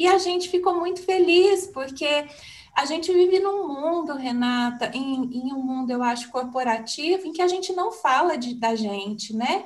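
A woman speaks at a moderate pace in a high, warm voice with lively intonation, and the room echo is audible. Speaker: podcaster, communications professional. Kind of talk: interview.

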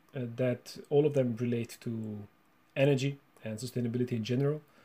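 With a Hungarian accent, a man talks at a fairly quick pace in a dark, mellow tone that is somewhat breathy. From Romania (Hungarian minority). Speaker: university researcher and lecturer. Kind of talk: interview. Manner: halting, with many repetitions.

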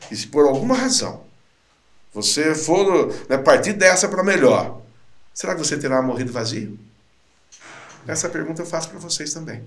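Very wide pitch swings ring through audible room echo. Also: man. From interior of São Paulo state, Brazil. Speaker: sales trainer and speaker. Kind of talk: casual interview.

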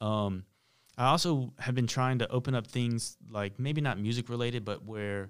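A normal speaking voice with an American accent, ordinary pitch variation and a moderate pace, recorded very cleanly against a silent background. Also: man. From US South, Charlotte, North Carolina. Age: 30s. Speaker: music mixer and producer. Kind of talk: interview.

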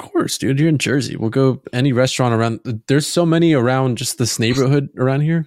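An ordinary speaking voice with fairly even intonation moves at a fairly quick pace with hardly any pauses, sounding dry and close with no echo. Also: man, medium pitch for a man. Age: 20s. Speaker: podcast co-host. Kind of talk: casual chat.

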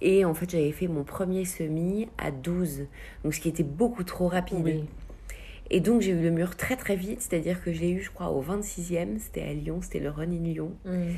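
Her fairly low voice moves with ordinary pitch variation as the woman talks at a moderate pace. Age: 30s. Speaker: amateur runner. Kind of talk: interview. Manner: hesitant, many fillers.

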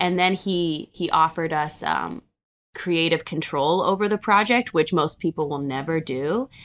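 A woman with an American accent and fairly low pitch talks with ordinary pitch variation in a plain, everyday voice, on a very clean recording with a silent background. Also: moderate pace. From Cincinnati, Ohio. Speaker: film producer and director. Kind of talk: interview.

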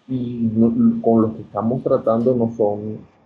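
The man moves at a very slow pace. His voice sits at a medium pitch. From Venezuela, Coro (Falcón state). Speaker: ophthalmologist and historian. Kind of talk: interview.

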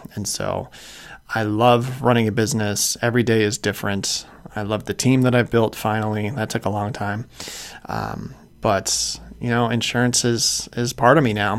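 With an American accent, a man speaks at medium pitch and a moderate pace in monotone, flat intonation over noticeable background noise. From Chicago suburbs, Illinois. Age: 40s. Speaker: podcast host, insurance agency owner. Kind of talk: casual monologue.

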